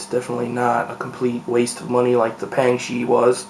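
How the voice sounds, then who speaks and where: A man with a medium pitch at a moderate pace, with noticeable background noise. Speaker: speedcube reviewer. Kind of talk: product unboxing and first impression. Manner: quiet, hushed; hesitant, many fillers.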